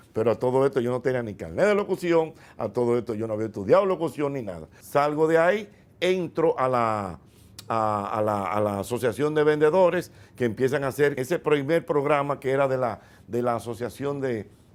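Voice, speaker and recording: A man speaks fairly quickly at a medium pitch, with a Dominican accent. His intonation is lively. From Dominican Republic. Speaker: radio host and comedian. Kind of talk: interview answer recounting his career. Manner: relaxed, conversational, storytelling.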